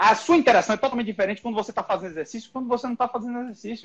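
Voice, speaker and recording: A man talks with music in the background. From Brazil, Bahia (Salvador). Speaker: neurosurgeon. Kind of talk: podcast interview.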